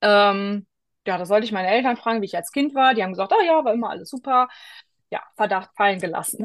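A woman talks at a very fast pace in a fairly high pitch. The background is quiet. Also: ordinary pitch variation. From Rhineland, western Germany. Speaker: pilgrim with ADHD. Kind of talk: interview.

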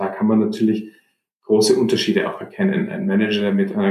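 A man is speaking. His pitch swings very widely. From Germany, Munich. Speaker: fund manager. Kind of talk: interview. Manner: halting, many repetitions and fillers.

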